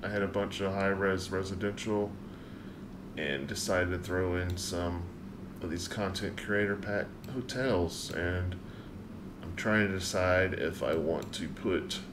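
With noticeable background noise, a man speaks at a fairly slow pace in a very deep, low pitch. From US South, South Carolina. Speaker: gaming streamer. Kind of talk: live stream gameplay commentary. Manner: casual, thinking aloud. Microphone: studio mic.

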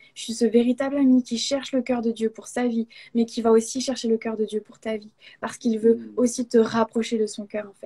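A woman's dark, mellow voice, monotone and flat, at a fairly quick pace over a quiet background. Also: fairly high pitch for a woman. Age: 20s. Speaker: guest. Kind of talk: testimony; interview answer, personal faith testimony. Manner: halting. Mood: warm, earnest. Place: home room. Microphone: video call.

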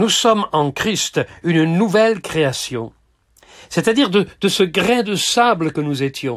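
Very slow speech from a man swings very widely in pitch over a quiet background. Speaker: preacher. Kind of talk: sermon. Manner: formal, didactic, steady teaching pace; earnest, gently exhorting. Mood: calm, earnest.

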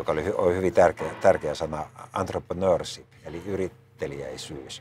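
Noticeable noise fills the background. A man talks at a moderate speed. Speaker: politician. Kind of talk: interview answer. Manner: repeats words to get going.

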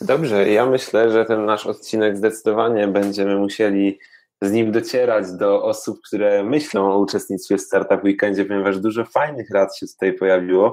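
At a moderate pace and with hardly any pauses, a man speaks in a fairly low pitch with fairly even intonation. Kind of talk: casual interview.

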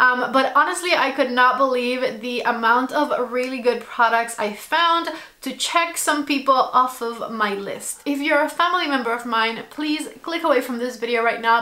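At a moderate pace, a woman talks in a high voice with ordinary pitch variation. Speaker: lifestyle vlogger. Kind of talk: casual vlog chat. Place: home room.

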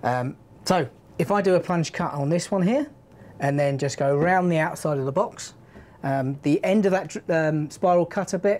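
The speaker is a woman with ordinary pitch variation. She keeps to a moderate pace. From UK. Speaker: power tool product trainer. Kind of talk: live stream product demo. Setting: studio live stream. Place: studio.

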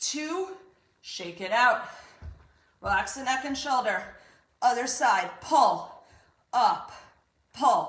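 Amid audible room echo, a woman with a high pitch talks at a very slow pace, her loudness swinging widely between long, frequent pauses. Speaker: fitness instructor. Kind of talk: workout instruction and counting. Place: home room. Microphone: camera far.

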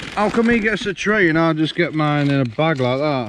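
Lively intonation and a fairly quick pace mark this man's speech, recorded dry with no echo over light background noise. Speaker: travel vlogger. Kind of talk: casual travel vlog talk to camera. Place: open country. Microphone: phone near.

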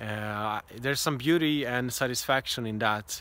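A man talks with fairly even intonation in a dry sound with no echo. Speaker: travel vlogger. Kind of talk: casual vlog chat. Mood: calm, reflective. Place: open country. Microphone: phone near.

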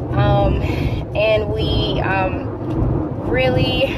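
Through loud background noise, a woman speaks with fairly even intonation.

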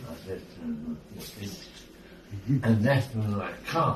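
Against light background noise and audible room echo, a man speaks at a very slow pace. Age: 80s+. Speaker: storyteller. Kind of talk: casual storytelling in conversation. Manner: rambling, halting. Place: home room. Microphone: phone near.

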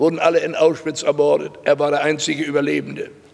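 A man's monotone, flat intonation holds at a moderate pace. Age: 80s+. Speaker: Holocaust survivor and lecturer. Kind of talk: public lecture to students. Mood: grave, earnest. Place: hall. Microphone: podium.

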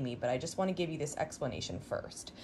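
A woman speaks at a fairly quick pace with lively intonation and a somewhat breathy quality. Light background noise sits behind her. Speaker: quilting tutorial host. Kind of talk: tutorial. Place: home room.

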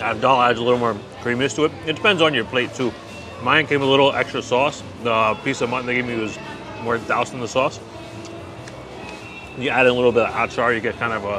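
A man speaks at a very fast pace with fairly even intonation, and the sound is dry with no echo. Music plays clearly in the background. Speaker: food vlogger. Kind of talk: casual food review commentary. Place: market. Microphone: phone near.

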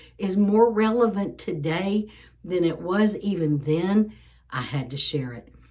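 A woman speaks at a fairly slow pace with lively intonation over a quiet background. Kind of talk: casual vlog chat. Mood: earnest, emotional. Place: home room. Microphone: phone near.

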